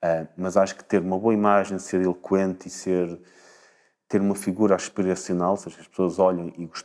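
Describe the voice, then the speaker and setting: A man talks at a fairly quick pace with a very deep, low pitch. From northern Portugal, Espinho. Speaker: politician, former party leader. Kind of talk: interview. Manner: halting, with repetitions.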